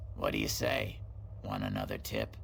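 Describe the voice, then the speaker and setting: A man puts on a character voice while clear background noise runs underneath. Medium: video game. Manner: chatty, sly, salesman-like.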